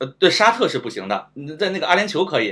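Talking very fast with vocal fry, a man swings his pitch very widely. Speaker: guest. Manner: halting, repeats words.

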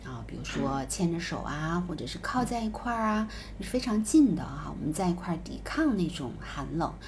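A woman's moderate-paced speech comes through with noticeable background noise. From southern China. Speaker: podcast co-host. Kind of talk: casual chat.

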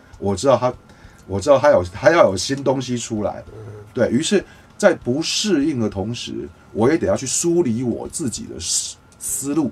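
At a moderate pace, a man speaks at medium pitch with lively intonation over noticeable background noise. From Taiwan. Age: 50s. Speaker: music producer and mixing engineer. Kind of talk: casual interview chat.

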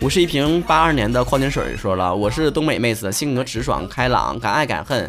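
A man with a Northeastern Chinese accent talks in an animated tone with lively intonation and hardly any pauses. Noticeable background noise runs behind him. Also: medium pitch for a man. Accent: Northeastern Mandarin. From Northeast China. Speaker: podcast host. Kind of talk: casual solo talk reading listener messages. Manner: animated, joking.

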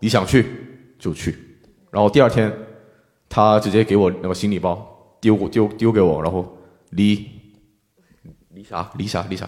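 Speaking with a Korean accent, a man uses a fairly low pitch and fairly even intonation at a moderate pace, with big swings in loudness and long, frequent pauses. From South Korea, Busan. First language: Korean (speaking Chinese). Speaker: Korean student in China. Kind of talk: live panel discussion.

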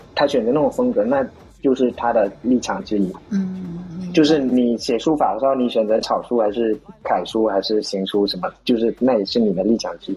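There is noticeable background noise behind this speaker. He is a man with lively intonation. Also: medium pitch for a man, moderate pace. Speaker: stand-up comedian. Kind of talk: casual chat.

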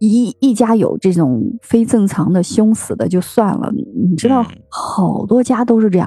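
At a fairly slow pace with hardly any pauses, a woman speaks at a fairly high pitch with ordinary pitch variation. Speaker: podcast host. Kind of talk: casual chat.

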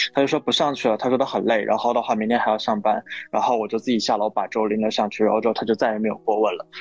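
A man talks at a very fast pace in a flat, monotone way. The sound is dry and close, with no echo. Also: medium pitch for a man. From northeastern China. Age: 20s. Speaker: podcast guest. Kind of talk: casual chat.

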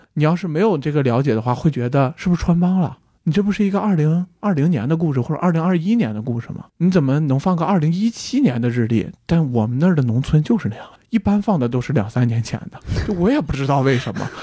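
Somewhat breathy and dark, mellow in tone, a man speaks at a very fast pace with lively intonation. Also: fairly high pitch for a man. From Inner Mongolia, Baotou. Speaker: podcast guest. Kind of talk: casual chat.

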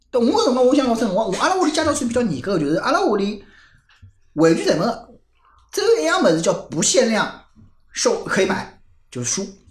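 With a Shanghainese accent, the speaker moves at a fairly quick pace broken by long, frequent pauses. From Shanghai, Nanshi district. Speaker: guest sharing local memories. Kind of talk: casual chat.

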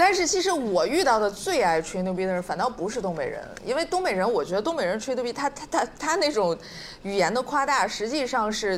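Against noticeable background noise, a woman speaks fairly quickly in a high pitch with very wide pitch swings. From Shenyang, Liaoning. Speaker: guest panelist. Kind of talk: casual panel chat. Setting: stage with live audience.

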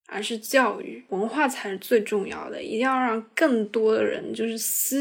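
A woman speaks at a fairly high pitch with lively intonation. Her pace is fairly slow, with vocal fry. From southern China. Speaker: podcast co-host. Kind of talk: casual chat.

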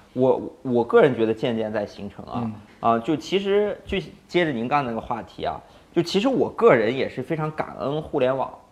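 At a moderate pace, a man with an ordinary speaking voice talks at medium pitch with lively intonation. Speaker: startup founder. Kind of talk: casual interview.

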